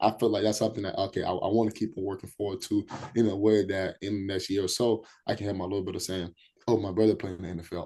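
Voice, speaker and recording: The background is quiet as a man talks very fast. His pitch sits fairly low. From Liberia, raised in Minnesota. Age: 20s. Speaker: college football player. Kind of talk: podcast interview. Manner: repetitive, halting starts; casual.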